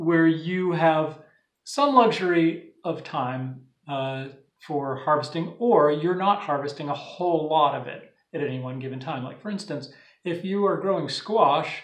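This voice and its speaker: Over a quiet background with audible room echo, a man speaks at a fairly slow pace, with big swings in loudness and ordinary pitch variation. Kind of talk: tutorial. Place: home room. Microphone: phone near.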